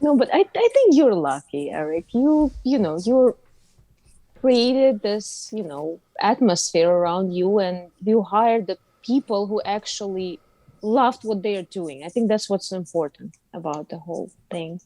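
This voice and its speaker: With a strong Russian accent, a woman speaks at a fairly slow pace and medium pitch. Her tone is dark and mellow, her intonation lively. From Uzbekistan. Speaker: actress. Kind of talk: casual interview chat.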